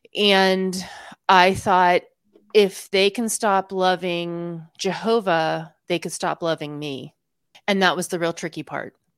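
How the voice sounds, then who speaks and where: Speaking at a very slow pace, a woman holds a medium pitch and fairly even intonation in a dry, close sound with no echo. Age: 40s. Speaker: former Jehovah's Witness, YouTuber. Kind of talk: interview.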